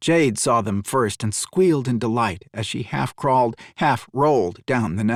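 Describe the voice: Someone does plain reading aloud.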